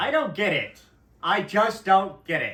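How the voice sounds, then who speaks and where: A man with a Midwestern accent. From US Midwest. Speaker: podcast co-host. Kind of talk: casual chat.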